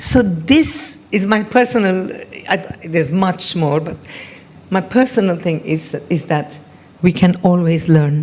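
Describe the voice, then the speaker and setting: Over noticeable background noise, a woman speaks with a fairly low pitch and lively intonation. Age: 70s. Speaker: event speaker. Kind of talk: testimony. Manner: halting.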